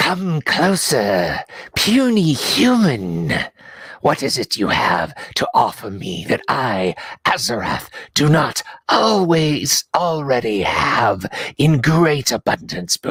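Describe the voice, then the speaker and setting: The speaker uses a put-on character voice at a low-to-middle pitch. The pace is very slow. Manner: haughty, condescending.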